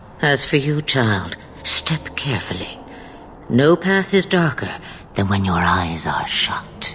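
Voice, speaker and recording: A man performs a put-on character voice at a fairly slow pace, medium in pitch with very wide swings. Light noise sits in the background. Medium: video game. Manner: cryptic, measured, knowing.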